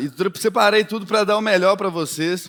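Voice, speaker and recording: A man speaks with a Minas Gerais accent. His pace is moderate. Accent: mineiro accent from Belo Horizonte. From Belo Horizonte, Minas Gerais, Brazil. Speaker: political marketing speaker. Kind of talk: keynote talk.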